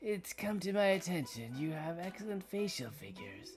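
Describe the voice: A raspy, put-on character voice at a middle pitch and moderate pace. Clear music plays in the background.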